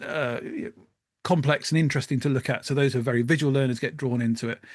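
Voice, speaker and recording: There is a quiet background. A man talks at a medium pitch. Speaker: podcast co-host, former teacher. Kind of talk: casual chat. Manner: varied cadence, pace changes; hesitant, many fillers.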